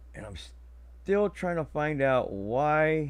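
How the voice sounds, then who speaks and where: A man speaks against a quiet background. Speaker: live-stream commentator. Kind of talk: casual live stream commentary. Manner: halting, many fillers.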